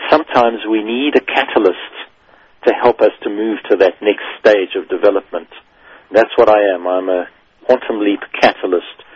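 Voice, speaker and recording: A man's fairly low, ordinary speaking voice at a moderate pace, with ordinary pitch variation. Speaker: business radio host. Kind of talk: radio interview. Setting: studio.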